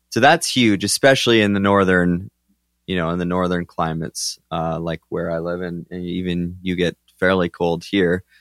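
A man with a very deep, low pitch talks at a moderate pace with fairly even intonation, in a very clean recording with a silent background and a dry, close sound with no echo. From southern Alberta, Canada. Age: 30s. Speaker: bison manager. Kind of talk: casual interview. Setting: at host's house.

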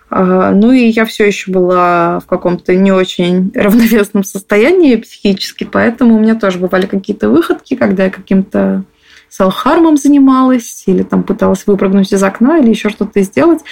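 A woman with an unremarkable speaking voice talks at a moderate pace and medium pitch, her loudness very even and her intonation lively. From Moscow. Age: 20s. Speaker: interviewee, abuse survivor. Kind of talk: personal testimony.

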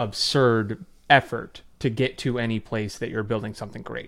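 Here a man has an ordinary speaking voice at a medium pitch, with fairly even intonation. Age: 20s. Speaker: online writing teacher, former finance worker. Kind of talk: debate.

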